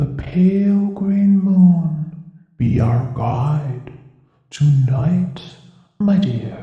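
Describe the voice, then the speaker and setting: With a clear echo around it, a put-on character voice at a middle pitch moves at a very slow pace, broken by long, frequent pauses. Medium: read story. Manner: gentle, old-fashioned courtly phrasing.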